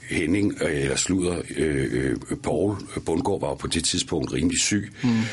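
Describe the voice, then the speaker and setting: A man with a very deep, low voice speaks at a very slow pace with lively intonation. Background noise is noticeable. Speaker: actor and voice actor. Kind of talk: interview. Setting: studio.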